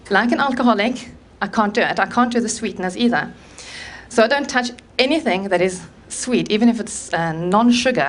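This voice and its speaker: Lively intonation in a South African accent. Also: woman. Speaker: conference speaker on low-carb eating. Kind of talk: talk to live audience.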